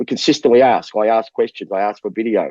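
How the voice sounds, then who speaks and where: The speaker has an Australian accent and moves at a fairly quick pace. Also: man. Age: 60s. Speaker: basketball coach. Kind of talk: interview.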